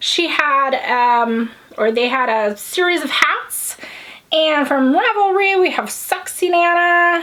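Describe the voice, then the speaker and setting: Amid audible room echo and noticeable background noise, a woman with an American accent speaks very slowly in a high, raised, projected voice, with lively intonation and very even loudness. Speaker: knitting podcast host. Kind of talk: casual chat. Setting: home, filming on a tripod.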